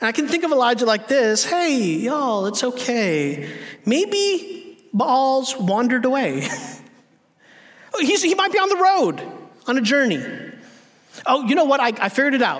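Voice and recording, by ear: A man talks at a fairly slow pace in an extremely high pitch. His tone is fairly bright, and his pitch swings widely.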